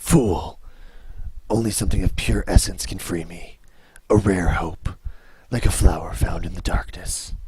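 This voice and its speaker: A put-on character voice broken by long, frequent pauses. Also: man, very deep, low pitch for a man, moderate pace. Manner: imperious, dramatic.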